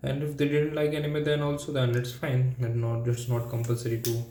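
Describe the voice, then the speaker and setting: A man with a non-native accent speaks at a moderate pace in a medium-pitched, dark, mellow, somewhat breathy voice. His intonation is flat and monotone, with audible room echo. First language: not English. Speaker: language learner vlogger. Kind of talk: solo practice monologue. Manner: halting.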